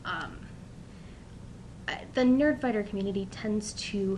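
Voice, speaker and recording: A woman with a fairly high, somewhat breathy voice speaks at a fairly slow pace. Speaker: college student. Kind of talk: casual talk to camera.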